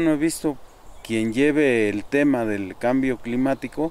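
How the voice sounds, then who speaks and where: At a fairly slow pace, a man talks in an unremarkable speaking voice of medium pitch with ordinary pitch variation. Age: 60s. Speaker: community forest defender. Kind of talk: interview testimony.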